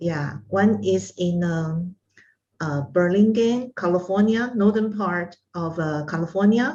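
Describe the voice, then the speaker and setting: In a Taiwanese accent, a woman speaks at a fairly slow pace with a fairly low pitch, a dark, mellow tone, a somewhat breathy quality and ordinary pitch variation. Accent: Taiwanese Mandarin-accented English. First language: Mandarin. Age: 60s. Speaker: art instructor and psychology consultant. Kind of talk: interview. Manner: halting, many fillers.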